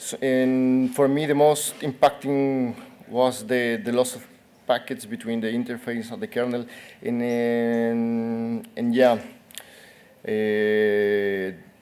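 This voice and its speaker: A medium-pitched man with a Spanish accent at a very slow pace, with ordinary pitch variation. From Colombia. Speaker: academic researcher presenting. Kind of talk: conference Q&A.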